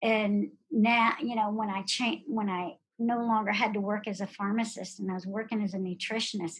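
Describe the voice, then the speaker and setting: Somewhat breathy and fairly high in pitch, a woman speaks at a moderate pace with hardly any pauses and fairly even intonation. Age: 60s. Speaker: pharmacist and nutrition specialist. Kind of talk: interview.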